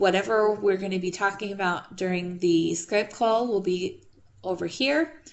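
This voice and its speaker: A woman with an ordinary speaking voice, medium in pitch, at a fairly slow pace with ordinary pitch variation. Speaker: math instructor. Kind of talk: online class lecture. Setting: video call.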